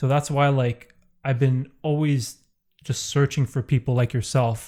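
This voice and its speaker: The recording is very clean, with a silent background. A man speaks at a moderate pace and medium pitch, his tone dark and mellow and somewhat breathy. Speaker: podcast host. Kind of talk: casual chat. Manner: monotone; laid back.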